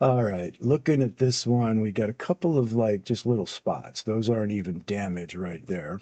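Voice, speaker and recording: A man's dark, mellow voice, fairly low in pitch, with lively intonation, a calm, soothing tone, a moderate pace and hardly any pauses. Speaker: coin dealer and livestream host. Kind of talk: live auction stream. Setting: livestream. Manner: calm, soothing cadence; hesitant, many fillers.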